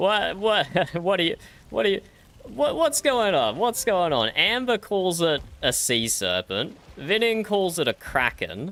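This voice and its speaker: An Australian-accented man speaks in a high, bright, sharp voice at a fairly slow pace. His pitch swings very widely while his loudness stays very even. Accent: Australian, recognizable by voice. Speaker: streamer. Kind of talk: casual chat. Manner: animated.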